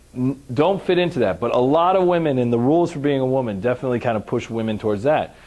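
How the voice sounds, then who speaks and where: A man speaks in an animated tone at a moderate pace. His intonation is lively. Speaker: trauma and recovery trainer. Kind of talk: lecture. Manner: loud.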